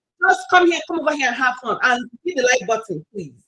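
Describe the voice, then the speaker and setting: A woman with a high pitch speaks in a strong Nigerian accent. Her tone is bright and sharp, with lively intonation. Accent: thick Nigerian. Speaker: YouTuber. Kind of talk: casual live stream chat. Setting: live stream video call.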